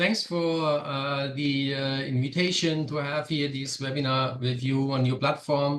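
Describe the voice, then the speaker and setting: Speaking fairly slowly, the man keeps his pitch medium and its variation ordinary. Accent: German. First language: German. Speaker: product manager. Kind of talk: webinar presentation. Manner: halting.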